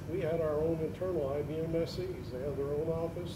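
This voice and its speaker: A man's voice with noticeable background noise. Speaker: IT contractor. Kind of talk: conference panel discussion. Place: hall. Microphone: camera far.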